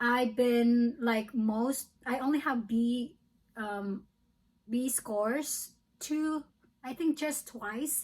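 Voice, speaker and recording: Speaking with a Filipino accent, a woman uses a high pitch and ordinary pitch variation at a very slow pace, with long, frequent pauses. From Philippines. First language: Filipino language. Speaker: nursing student. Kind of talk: casual vlog talk. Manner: hesitant, with fillers.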